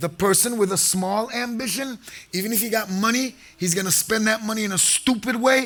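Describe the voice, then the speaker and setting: Loud and animated, a man talks at a moderate pace and high pitch with ordinary pitch variation. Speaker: sheikh / preacher. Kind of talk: sermon.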